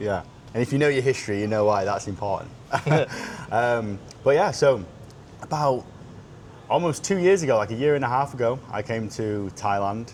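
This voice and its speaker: Over noticeable background noise, a man with a British accent talks at a moderate pace, leaving long, frequent pauses. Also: medium pitch for a man, lively intonation. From United Kingdom. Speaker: sales consultant, podcast co-host. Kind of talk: casual chat.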